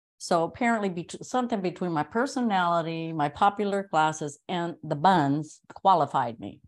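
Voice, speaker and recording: A woman with an unremarkable speaking voice, fairly low in pitch, with lively intonation at a moderate pace, on a very clean recording with a silent background. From US West Coast, Los Angeles. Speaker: actor, comedian and meditation teacher. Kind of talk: casual interview.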